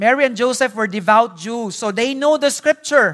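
At a fairly slow pace, the speaker talks with a Visayan Filipino accent on a very clean recording with a silent background. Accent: Filipino (Cebuano) English. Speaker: pastor. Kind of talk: sermon. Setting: church.

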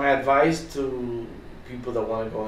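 A man's medium-pitched voice with a Spanish accent, audible room echo and noticeable background noise. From Dominican Republic. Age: 50s. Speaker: restaurant entrepreneur. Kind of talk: interview.

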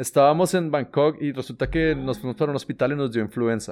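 A man with a normal speaking voice, a fairly quick pace and lively intonation. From Colombia. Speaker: travel podcast co-host. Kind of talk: casual chat.

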